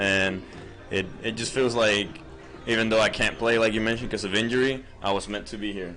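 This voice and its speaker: Music plays behind a man speaking at a fairly quick pace and a medium pitch. His intonation is fairly even, and the room echo is audible. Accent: Spanish. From Puerto Rico. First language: Spanish. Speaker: college baseball player. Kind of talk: casual interview.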